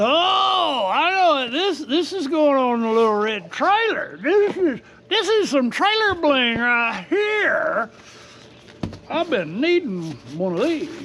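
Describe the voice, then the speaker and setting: In a Texas accent, the speaker goes at a very slow pace with long, frequent pauses amid noticeable background noise. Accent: Texas drawl. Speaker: RV and product review YouTuber. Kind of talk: casual unboxing vlog. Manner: animated.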